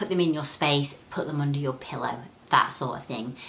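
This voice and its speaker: With audible room echo, a woman speaks at a fairly quick pace in a very deep, low pitch with ordinary pitch variation. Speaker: crystal healing vlogger. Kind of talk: tutorial. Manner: fast.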